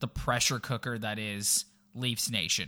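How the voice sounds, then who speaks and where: A man speaks at a fairly slow pace with a bright, sharp tone and a medium pitch. The recording is very clean, with a silent background. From Toronto, Canada. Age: 30s. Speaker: hockey podcast host. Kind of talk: casual chat. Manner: animated.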